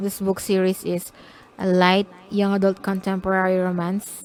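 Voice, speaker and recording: Pitched in the medium range, a woman talks with a non-native accent. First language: not English. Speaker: self-published romance author. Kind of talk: casual vlog talk about own books. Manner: halting, self-correcting.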